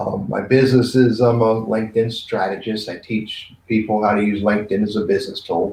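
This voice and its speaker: A somewhat breathy voice at a moderate pace. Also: man. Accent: American. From Maryland. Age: 60s. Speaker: business trainer. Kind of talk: casual interview chat.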